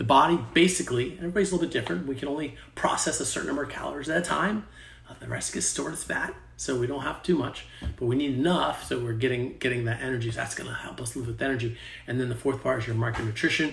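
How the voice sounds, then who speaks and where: A man of medium pitch talks very fast with lively intonation, with audible room echo and noticeable background noise. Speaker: fitness coach. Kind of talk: sales pitch; tutorial.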